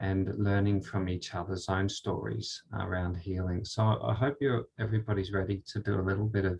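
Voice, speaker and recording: A man's fairly low, somewhat breathy voice with hardly any pauses. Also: ordinary pitch variation, moderate pace. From Australia. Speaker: spiritual speaker. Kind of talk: talk with guided meditation. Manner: halting.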